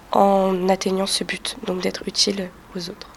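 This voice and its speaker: This woman speaks in a medium pitch while noticeable background noise plays behind her. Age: young. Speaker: student association treasurer. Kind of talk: interview.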